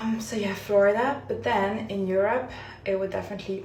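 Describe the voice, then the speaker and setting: A woman with a French accent talks at a fairly quick pace, her pitch varying in an ordinary way. Noticeable background noise and audible room echo fill the recording. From France. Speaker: lifestyle vlogger. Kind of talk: get-ready-with-me vlog. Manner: casual, with frequent fillers.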